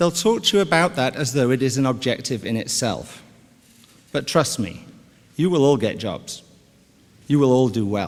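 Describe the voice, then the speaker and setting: Speaking with a British accent, a man of medium pitch uses lively intonation at a moderate pace, with long, frequent pauses. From United Kingdom. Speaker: business executive. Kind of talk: commencement speech. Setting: stage with audience. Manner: formal.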